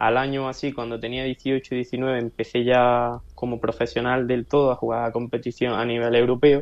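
A man talks at a medium tempo, his voice pitched in the middle range. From Granada, Andalusia. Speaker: esports player. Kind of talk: interview.

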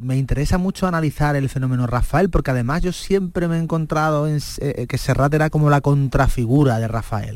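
A man talks at a fairly quick pace with ordinary pitch variation, in a very clean recording with a silent background. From Cádiz, Andalusia, Spain. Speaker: writer and music biographer. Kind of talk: radio interview. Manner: halting, frequent word repetitions.

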